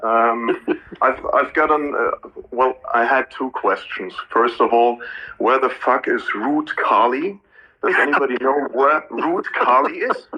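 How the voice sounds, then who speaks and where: A man with a German accent speaks at a fairly slow pace. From Germany. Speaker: audience member asking questions. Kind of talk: casual Q&A.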